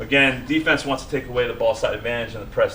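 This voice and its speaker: Noticeable background noise accompanies a man who talks very quickly. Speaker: coach. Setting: clinic or presentation. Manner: fast talker.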